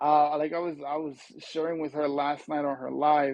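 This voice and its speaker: This man has an American accent and a fairly high pitch. He talks at a moderate pace in an animated tone. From US Mid-Atlantic (DC, Maryland, Virginia). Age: 40s. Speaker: social media coach and podcast host. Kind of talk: livestream interview. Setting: live video stream.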